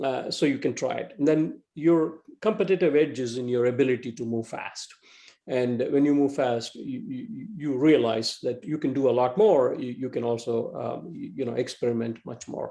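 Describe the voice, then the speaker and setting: With an Indian accent, a man speaks at a medium pitch and with lively intonation. His tone is dark and mellow. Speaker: entrepreneur and marketing executive. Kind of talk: club talk. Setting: club meeting, in person and video call. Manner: fast; halting.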